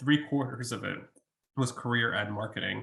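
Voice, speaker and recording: The man's pace is moderate. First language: Russian. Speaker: college researcher. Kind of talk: webinar Q&A. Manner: hesitant, many fillers.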